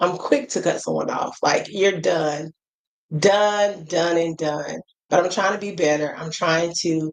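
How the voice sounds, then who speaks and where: A woman is speaking. She has an American accent. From US. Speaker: travel vlogger. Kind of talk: casual monologue vlog. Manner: animated.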